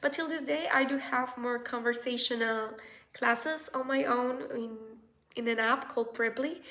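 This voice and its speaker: Bright and sharp in tone, a woman with a Spanish accent speaks at a high pitch and a moderate pace, with ordinary pitch variation. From Colombia. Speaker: researcher and vlogger. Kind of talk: casual vlog advice. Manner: halting, with fillers.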